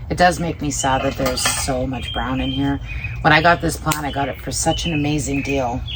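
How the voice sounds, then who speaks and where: The speaker mumbles over noticeable background noise. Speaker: plant care vlogger. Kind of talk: casual tutorial. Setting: outdoors. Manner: mumbling.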